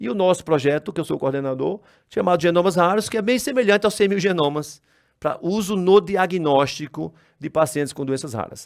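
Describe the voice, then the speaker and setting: On a very clean recording with a silent background, a man with a northeastern Brazilian accent and a high pitch talks at a fairly quick pace with lively intonation. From Brazil, Northeast. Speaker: geneticist, research project coordinator. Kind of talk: conference talk. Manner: hesitant, with repetitions and self-corrections.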